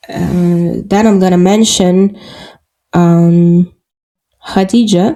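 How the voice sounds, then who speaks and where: Very slowly, a woman speaks at a medium pitch with fairly even intonation. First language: Russian. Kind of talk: podcast interview. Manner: halting, many fillers.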